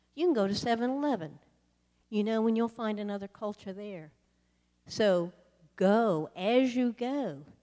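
In a Southern US accent, a woman with a fairly high voice and a dark, mellow tone speaks at a fairly slow pace. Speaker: missionary sharing testimony. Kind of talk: sermon testimony. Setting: church.

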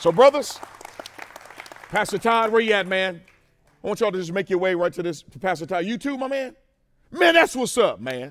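Over crowd noise in the background, a man with a high pitch talks in a passionate, animated tone at a fairly quick pace, his pitch swinging very widely between long, frequent pauses. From Mississippi. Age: 40s. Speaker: preacher. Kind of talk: sermon. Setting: stage with audience. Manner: call-and-response, passionate.

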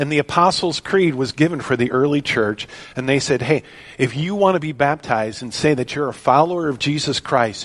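Using an ordinary speaking voice, a man talks at a moderate pace. His pitch is fairly high, with ordinary pitch variation. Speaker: pastor. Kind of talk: sermon.

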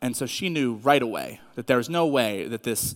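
The voice belongs to a man. Its pitch moves with ordinary variation. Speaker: youth pastor. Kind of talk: sermon. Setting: church with audience.

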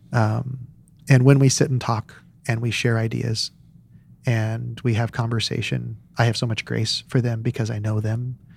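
This man talks at a moderate pace in a medium pitch, with monotone, flat intonation and a somewhat breathy sound. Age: 40s. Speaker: pastor. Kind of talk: casual chat.

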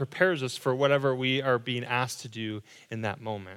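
The recording is very clean, with a silent background. A man speaks at a medium pitch and a very fast pace. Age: 30s. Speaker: pastor. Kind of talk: sermon. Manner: halting.

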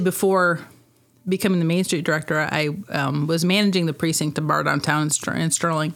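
A woman's fairly low voice with a Midwestern American accent, fairly quick, with ordinary pitch variation. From US Midwest, northern Illinois (Rock Falls). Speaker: director of a downtown revitalization organization. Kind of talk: casual interview.

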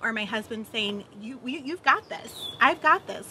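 Lively intonation and a moderate pace from a woman with an ordinary speaking voice. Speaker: missions trip volunteer. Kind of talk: testimony.

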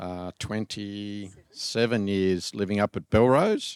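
The speaker has an Australian accent and fairly even intonation. The sound is dry and close, with no echo. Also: man. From Australia, rural New South Wales. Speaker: church member. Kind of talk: interview. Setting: church.

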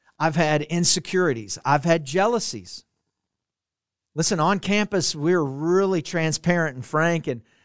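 In a very clean recording with a silent background and a dry, close sound with no echo, a man with an American accent and a normal speaking voice talks at a moderate pace in a fairly high pitch with ordinary pitch variation. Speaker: pastor. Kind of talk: sermon.

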